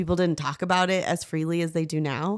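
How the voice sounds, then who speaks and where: A very clean recording with a silent background, carrying a fairly low female voice. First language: not English. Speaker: podcast host. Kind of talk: casual chat. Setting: podcast interview with husband.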